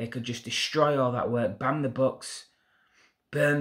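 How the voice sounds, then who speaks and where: Against a quiet background, a man with a Yorkshire accent speaks with fairly even intonation. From Yorkshire, northern England. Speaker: YouTuber, political commentator; commentator. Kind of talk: opinion monologue to camera. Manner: hesitant fillers. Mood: indignant, earnest. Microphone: phone near.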